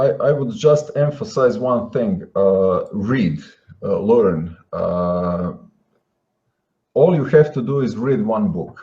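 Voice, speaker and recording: Very slowly and with long, frequent pauses, a man with a non-native accent speaks at a medium pitch in a dark, mellow, somewhat breathy tone, his pitch swinging very widely. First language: not English. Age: 40s. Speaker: guest. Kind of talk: interview. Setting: live online show. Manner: halting, many fillers.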